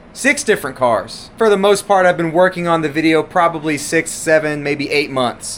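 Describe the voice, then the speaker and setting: A man speaks loudly in an animated tone. His intonation is lively. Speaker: RC car YouTuber. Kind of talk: casual vlog talk to camera. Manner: animated, rambling with restarts.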